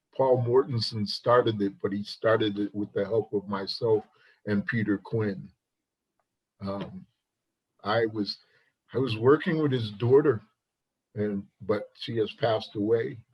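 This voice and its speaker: A man's somewhat breathy, medium-pitched voice at a fairly slow pace, broken by long, frequent pauses. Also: ordinary pitch variation. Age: 60s. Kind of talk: casual chat.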